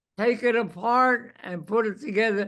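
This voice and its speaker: The voice is raised and projected, with a bright, sharp tone. Its pitch variation is ordinary, and the background is quiet. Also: man. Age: 80s+. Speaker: war veteran. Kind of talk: oral history interview.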